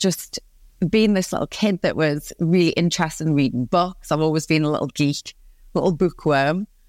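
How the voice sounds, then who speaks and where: Recorded very cleanly against a silent background, with a dry, close sound and no echo, a woman in a Geordie accent speaks at a moderate pace with ordinary pitch variation. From northeast England, Newcastle upon Tyne. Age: 30s. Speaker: positive psychologist and business coach. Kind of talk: podcast interview. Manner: animated.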